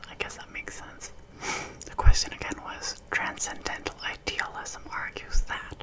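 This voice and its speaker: Whispering at a moderate pace, a woman shows big swings in loudness against noticeable background noise. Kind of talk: whispered ASMR quiz with casual chat. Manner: whispered, soft-spoken.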